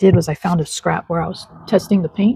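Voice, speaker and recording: A woman speaks in a relaxed tone, fairly low in pitch and somewhat breathy. The sound is dry and close, with no echo. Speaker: craft journaling vlogger. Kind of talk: casual craft tutorial vlog. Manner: relaxed, chatty.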